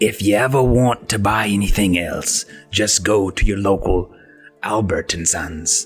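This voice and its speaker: A man's put-on character voice, fairly low in pitch, at a moderate pace with fairly even intonation and faint music in the background. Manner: salesman-like, playful.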